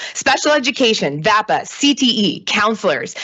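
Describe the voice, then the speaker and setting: Her pitch swings very widely as this woman speaks. Noticeable background noise can be heard. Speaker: public commenter, educator. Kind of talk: public comment at board meeting. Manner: fast; impassioned.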